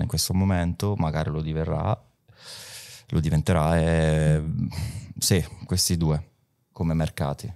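Over a quiet background, a man with a dark, mellow tone talks at a moderate pace. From Calabria, province of Catanzaro. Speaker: DJ. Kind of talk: casual interview. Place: studio. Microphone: studio mic.

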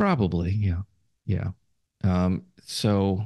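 Somewhat breathy and dark, mellow in tone, a man's voice comes through in a dry, close sound with no echo against a quiet background. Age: 70s. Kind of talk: interview. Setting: remote call.

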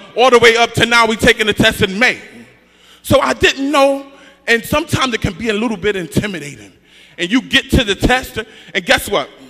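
A man speaks in a raised, projected voice at a fairly quick pace. His pitch varies in an ordinary way. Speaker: preacher. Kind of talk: sermon. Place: church. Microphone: handheld.

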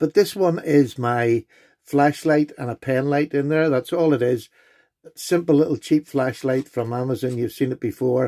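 Over a quiet background, a man speaks at a moderate pace with a dark, mellow tone and ordinary pitch variation. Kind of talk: casual show-and-tell vlog.

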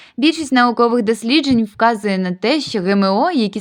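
In a very clean recording with a silent background, a woman uses a normal speaking voice with lively intonation at a moderate pace. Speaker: medical college student. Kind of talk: student presentation narration. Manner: formal.

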